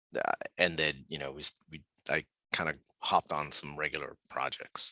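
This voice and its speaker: This man's voice sits very deep and low, with a bright, sharp tone, vocal fry, flat monotone intonation, big swings in loudness, and a moderate pace, all in a dry, close sound with no echo. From Puerto Rico. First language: Spanish. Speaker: architect. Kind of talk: casual chat.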